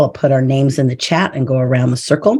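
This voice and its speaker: A woman's very deep, low voice with a dark, mellow tone. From South Dakota, US. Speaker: circle facilitator. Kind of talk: workshop facilitation. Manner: fast.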